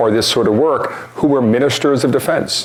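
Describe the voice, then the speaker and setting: A man with an American accent, medium pitch and ordinary pitch variation, against noticeable background noise. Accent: Boston accent, comes out at times. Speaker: nonprofit founder and speaker. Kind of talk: public talk. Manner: hesitant with fillers.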